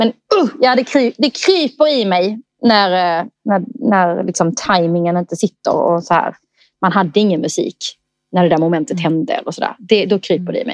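At a moderate pace, an unremarkable speaking voice carries lively intonation in a dry, close sound with no echo. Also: woman, medium pitch for a woman. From southern Sweden (Skåne, Eslöv). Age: 30s. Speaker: wedding coordinator. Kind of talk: casual interview chat.

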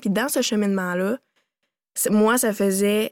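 A woman with a Quebec accent and a fairly high pitch, in a very clean recording with a silent background and a dry, close sound with no echo. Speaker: company co-founder and CEO. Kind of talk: interview, casual conversation.

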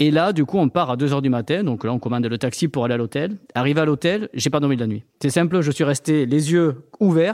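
In a very clean recording with a silent background and a dry, close sound without echo, a man with a southern French accent talks at a fairly quick pace with hardly any pauses. His pitch is fairly high and his intonation lively. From southern France. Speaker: entrepreneur. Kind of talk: interview.

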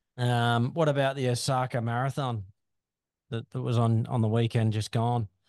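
At a moderate pace, a man speaks in a monotone, flat way at medium pitch with an Australian accent, recorded dry and close with no echo against a quiet background. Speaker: podcast host. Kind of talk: casual chat.

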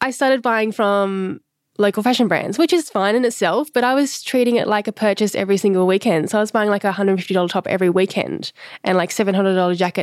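In an Australian accent, a woman speaks at a very fast pace and medium pitch, with ordinary pitch variation and very even loudness, in a very clean recording with a silent background and a dry, close sound with no echo. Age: 30s. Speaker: slow fashion stylist. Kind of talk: interview conversation.

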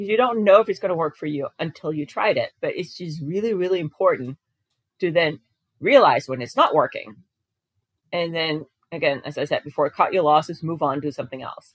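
A woman talks at a fairly quick pace with a fairly low pitch. Her intonation is lively, and her loudness swings a lot. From Denmark. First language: Danish. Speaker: diabetes coach and personal trainer. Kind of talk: casual interview chat.

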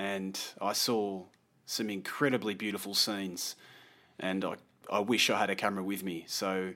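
This man has a fairly low voice and an Australian accent, talking at a moderate pace. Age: 40s. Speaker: landscape photographer. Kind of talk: casual interview.

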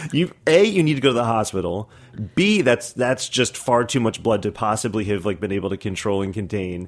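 A man talks in a normal speaking voice with a fairly low pitch. His intonation is lively. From New York City (Brooklyn). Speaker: food writer and chef. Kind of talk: casual chat. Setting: studio.

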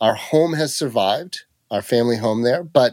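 With an American accent and an unremarkable speaking voice, a man talks at a fairly slow pace with lively intonation on a very clean recording with a silent background. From rural California (Mariposa County). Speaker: clean energy startup CEO. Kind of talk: interview.

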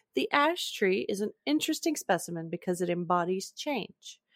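A woman speaks with lively intonation at a medium pitch. It is an unremarkable speaking voice. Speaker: podcast host. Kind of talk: casual chat.

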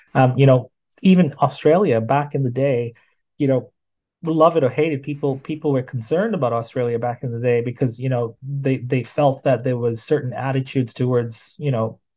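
Over a quiet background, a man with a dark, mellow tone and medium pitch speaks somewhat breathily at a fairly quick pace, with ordinary pitch variation. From Tanzania. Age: 30s. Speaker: digital marketing strategist. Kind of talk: casual interview.

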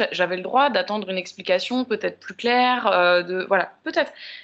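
At a moderate pace, a woman talks in an ordinary speaking voice, pitched fairly high, with ordinary pitch variation. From Paris, France. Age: 30s. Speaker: podcast guest. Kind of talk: casual chat.

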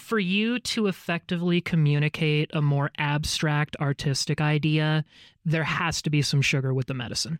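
Here is a man with an ordinary speaking voice, fairly high-pitched, with ordinary pitch variation at a moderate pace. The recording is very clean, with a silent background. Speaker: band guitarist. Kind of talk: casual conversation.

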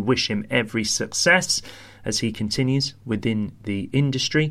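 Speaking with a British accent, the man has a medium-pitched voice. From London, UK. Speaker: podcast host. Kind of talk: casual interview chat.

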